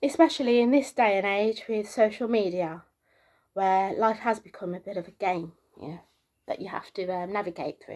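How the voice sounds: A soft-spoken woman with a medium pitch and a slightly mellow tone talks at a moderate pace with ordinary pitch variation.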